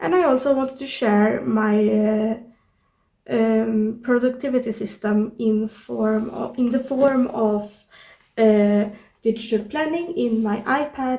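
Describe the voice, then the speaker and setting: A woman's dark, mellow voice at a fairly high pitch, with ordinary pitch variation and a very slow pace. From Sweden. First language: Swedish. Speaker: YouTuber, artist and journaling creator. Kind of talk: casual vlog tutorial. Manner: halting with many fillers. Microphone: no external microphone, built-in audio.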